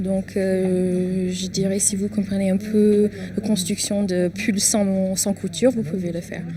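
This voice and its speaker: A woman's very slow delivery in a monotone, flat intonation. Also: medium pitch for a woman. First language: English (speaking French). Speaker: knitting shop owner and teacher. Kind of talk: casual interview. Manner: halting, with hesitations.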